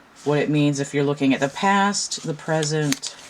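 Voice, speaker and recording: Against noticeable background noise, a woman speaks with a very deep, low pitch and ordinary pitch variation. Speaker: tarot reader and deck reviewer. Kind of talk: product review. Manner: casual, conversational.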